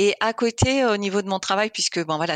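On a dry, close recording with no echo and a quiet background, a woman speaks at a medium pitch with ordinary pitch variation. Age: 50s. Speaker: engineering coach and masters swimmer. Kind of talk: interview. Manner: halting.

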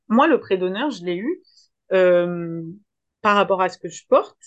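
A woman's medium-pitched voice moves at a fairly slow pace, showing ordinary pitch variation. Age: 30s. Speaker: social worker and app founder. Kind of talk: interview. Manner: animated.

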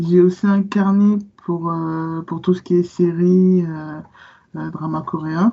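A woman's fairly low, monotone, flat voice at a very slow pace. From Guadeloupe, then Paris region from age 10. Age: 20s. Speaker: book influencer. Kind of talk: casual interview.

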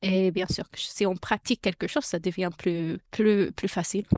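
A woman speaks fairly slowly in an English accent, her pitch medium and her intonation fairly even. The recording is very clean with a silent background, and the sound is dry and close with no echo. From United States. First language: English (speaking French). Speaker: podcaster and bilingual parenting advisor. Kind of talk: interview. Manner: halting; talkative.

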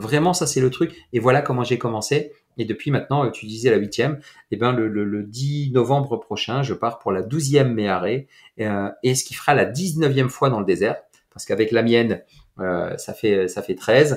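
Recorded very cleanly against a silent background, a man with a plain, everyday voice talks at a moderate pace and medium pitch with ordinary pitch variation. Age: 40s. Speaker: entrepreneur and mindset coach. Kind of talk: casual interview.

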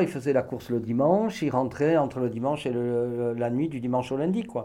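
In a dark, mellow tone, a man speaks at medium pitch and a moderate pace. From France, Bordeaux. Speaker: mountain guide. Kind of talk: interview. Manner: halting, many fillers.

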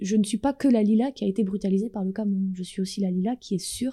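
On a very clean recording with a silent background, a woman talks at a fairly quick pace with a medium pitch and fairly even intonation. Her somewhat breathy voice has a dark, mellow tone and a dry, close sound with no echo. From France. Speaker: dancer and choreographer. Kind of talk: interview.

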